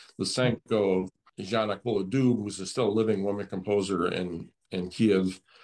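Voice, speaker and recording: Speaking at a moderate pace, a man with an unremarkable speaking voice keeps a fairly low pitch and fairly even intonation. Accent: American. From US. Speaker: pianist. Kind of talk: interview. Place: home room. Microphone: video call.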